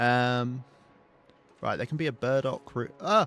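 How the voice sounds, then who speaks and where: Lively intonation from a man at a medium pitch, with music in the background. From southern England. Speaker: video game streamer. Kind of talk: gameplay livestream commentary. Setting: livestream. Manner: casual, chatty.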